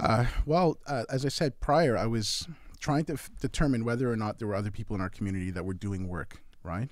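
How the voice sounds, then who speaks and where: A man with a plain, everyday voice talks at a medium pitch and a fairly quick pace with lively intonation. The recording is very clean, with a silent background. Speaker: event organizer and artist. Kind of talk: casual chat.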